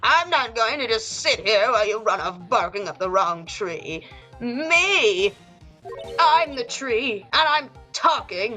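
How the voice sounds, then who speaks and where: Over faint background music, a woman does a put-on character voice at a fairly high pitch and a fairly slow pace. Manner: indignant, sassy.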